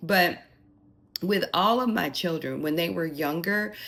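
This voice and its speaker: The intonation is lively. It is a plain, everyday voice. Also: woman. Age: 60s. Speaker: lifestyle vlogger and mother. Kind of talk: personal advice monologue. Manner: conversational with filler words.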